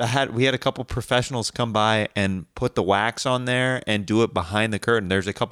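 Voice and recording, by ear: A natural voice reading aloud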